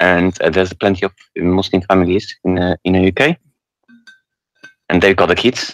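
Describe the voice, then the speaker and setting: A man with a non-native accent and a very deep, low voice speaks at a moderate pace with fairly even intonation, very even loudness and long, frequent pauses, in a dry, close sound with no echo. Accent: foreign, non-English. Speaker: caller. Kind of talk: call-in debate. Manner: halting.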